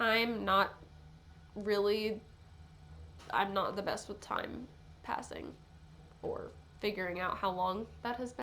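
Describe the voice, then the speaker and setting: Amid audible room echo, a woman speaks at a very slow pace with long, frequent pauses. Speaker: YouTuber. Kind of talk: casual commentary vlog. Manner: casual.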